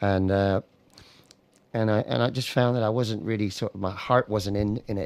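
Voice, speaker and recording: In an American accent, a man talks at a moderate pace with a fairly low pitch and fairly even intonation. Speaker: singer-songwriter. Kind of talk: radio interview.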